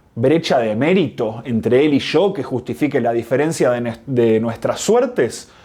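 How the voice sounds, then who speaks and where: Speaking with a Rioplatense accent, a man has a dark, mellow tone and a medium pitch. He goes at a fairly slow pace with ordinary pitch variation. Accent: Rioplatense Spanish (porteño). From Argentina, Buenos Aires. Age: 30s. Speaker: video essayist. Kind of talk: scripted narration.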